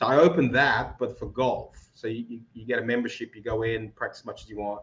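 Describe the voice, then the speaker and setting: Speaking very fast with an Australian accent, a man keeps his intonation fairly even while his loudness swings widely. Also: medium pitch for a man. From Australia (Melbourne), moved from Moldova at about 11. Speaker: golf simulator business founder. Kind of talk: casual interview chat.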